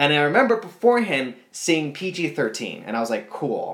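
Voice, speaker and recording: With vocal fry, a man of fairly high pitch swings very widely up and down. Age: 30s. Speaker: podcast guest, movie fan. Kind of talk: casual chat. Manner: fast.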